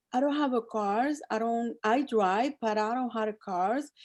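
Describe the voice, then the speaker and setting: A woman with a Spanish accent speaks at a fairly slow pace and fairly high pitch with a dark, mellow tone, in a dry, close sound with no echo on a very clean recording with a silent background. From El Salvador. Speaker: cosmetics sales director. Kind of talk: interview. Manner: halting.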